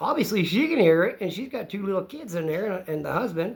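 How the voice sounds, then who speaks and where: A man speaks loudly at a fairly quick pace. His intonation is lively. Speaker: channel co-host recounting an incident. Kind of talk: casual storytelling conversation. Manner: animated.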